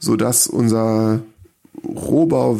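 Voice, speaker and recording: This is a man talking. His voice lands at a middle pitch. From northern Germany, small village. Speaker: homeowner who built a house. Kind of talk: casual interview. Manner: hesitant, filler-heavy.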